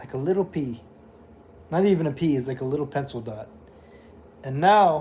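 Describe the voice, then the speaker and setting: A man with an American accent speaks fairly quickly at a fairly high pitch, his dark, mellow, somewhat breathy voice showing ordinary pitch variation, big swings in loudness and long, frequent pauses. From California, Bay Area. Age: 20s. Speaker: livestreamer. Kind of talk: casual livestream monologue.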